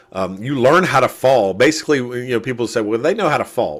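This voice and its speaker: Lively in intonation, a man at medium pitch has an unremarkable speaking voice. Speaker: wrestling commentator. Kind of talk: interview answer.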